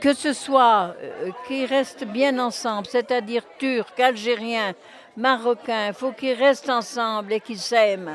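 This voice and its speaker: Through noticeable background noise, a high-pitched woman speaks very slowly. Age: 80s+. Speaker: former neighbourhood resident, volunteer. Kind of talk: interview. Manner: halting.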